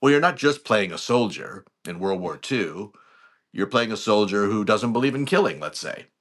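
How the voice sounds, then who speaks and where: A man speaks in an ordinary speaking voice with an American accent, fairly low pitch and lively intonation. His moderate pace is set against a quiet background. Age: 50s. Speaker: actor and scriptwriter. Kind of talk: interview. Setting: podcast recording.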